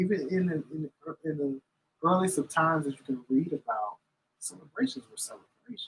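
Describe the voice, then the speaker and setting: A man's unremarkable speaking voice: an unremarkable speaking voice, fairly high in pitch, fairly quick, with lively intonation, big swings in loudness and a dry, close sound with no echo. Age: 40s. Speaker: cigar reviewer. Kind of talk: casual chat. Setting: cafe live stream.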